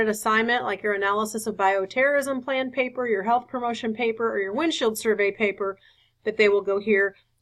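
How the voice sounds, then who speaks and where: Fairly quick and fairly even in intonation, a woman speaks at a fairly high pitch in an ordinary speaking voice. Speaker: nursing professor. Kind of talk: online course orientation.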